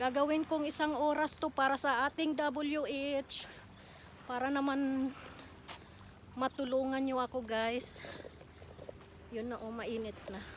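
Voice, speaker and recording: With noticeable background noise behind her, a woman with a high pitch talks at a fairly slow pace, her intonation fairly even and her pauses long and frequent. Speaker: vlogger. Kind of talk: walking vlog. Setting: outdoors. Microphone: no microphone.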